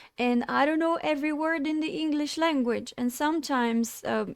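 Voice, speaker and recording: A woman with a non-native accent speaks at a fairly slow pace with ordinary pitch variation, in a very clean recording with a silent background. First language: not English. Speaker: streamer. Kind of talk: monologue to camera. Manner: halting.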